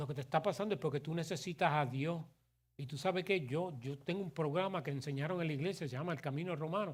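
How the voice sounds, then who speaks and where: A man's animated, fairly high voice at a fairly quick pace, with ordinary pitch variation and a very clean recording against a silent background. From New York City, Puerto Rican family. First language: English (speaking Spanish). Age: 60s. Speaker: pastor. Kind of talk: sermon. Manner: animated, conversational.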